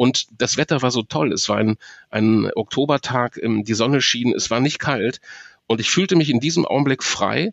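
A man talks at a moderate pace in a medium pitch with ordinary pitch variation. It is an ordinary speaking voice. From Ruhr area, Germany (Marl). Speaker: professional voice speaker and cycling activist, former reporter. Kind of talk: interview.

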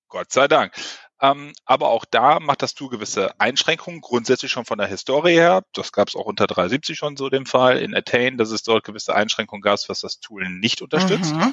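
A man's plain, everyday voice, fairly high in pitch, with lively intonation at a moderate pace. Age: 30s. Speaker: ERP software consultant. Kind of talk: podcast interview.

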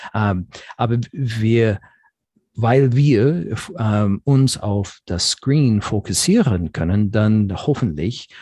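A man with an English accent speaks very slowly, his fairly low, somewhat breathy voice dark and mellow in tone, with lively intonation. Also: quiet background. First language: English (speaking German). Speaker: software company manager. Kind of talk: interview. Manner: halting, many fillers.

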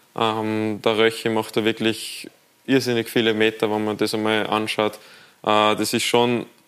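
A man speaks at medium pitch in a monotone, flat way. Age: 20s. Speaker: professional footballer. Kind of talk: TV studio talk interview. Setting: TV studio.

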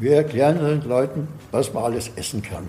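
This man's voice sits at a fairly high pitch and carries an Austrian accent. He talks at a moderate pace. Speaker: herb expert and cook. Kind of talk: interview.

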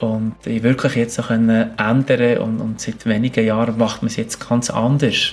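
A man with a medium-pitched voice speaks at a moderate pace with hardly any pauses. Noticeable background noise can be heard. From Switzerland, Bern region and mountains. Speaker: biologist and adventurer. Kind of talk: interview.

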